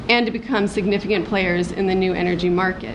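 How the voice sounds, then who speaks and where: A woman at medium pitch and fairly quick pace, fairly even intonation, audible room echo and noticeable background noise. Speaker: activist. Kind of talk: conference talk, partly read from notes. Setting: workshop panel with audience. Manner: halting, many false starts.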